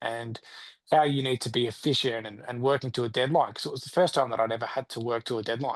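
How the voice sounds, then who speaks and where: Against a quiet background, a man with an Australian accent talks very fast at a medium pitch. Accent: Australian, leaning into it. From Australia, rural Victoria. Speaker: country singer-songwriter. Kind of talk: interview. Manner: animated.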